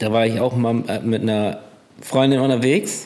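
Noticeable background noise sits behind a man of medium pitch. He speaks at a moderate pace with fairly even intonation. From Bremerhaven, northern Germany. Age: 30s. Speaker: container port driver. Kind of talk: casual conversation. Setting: separate rooms, connected via headphones.

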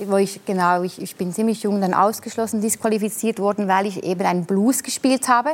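Over noticeable background noise, a woman talks at a fairly quick pace with hardly any pauses, medium pitch and fairly even intonation. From Italian-speaking Switzerland. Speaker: alphorn player. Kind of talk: talk show conversation.

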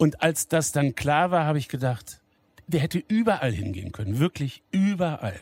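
This man's voice is somewhat breathy, with a fairly high pitch and very wide pitch swings. He talks at a moderate pace. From Lower Saxony, Wolfsburg. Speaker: pastor and football fan. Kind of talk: casual interview. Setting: empty football stadium.

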